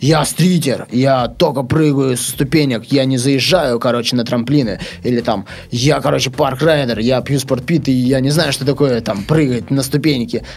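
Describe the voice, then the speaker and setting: Noticeable background noise sits behind a man speaking at a medium pitch. He keeps a moderate pace. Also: ordinary pitch variation. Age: 20s. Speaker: BMX rider. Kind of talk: casual chat.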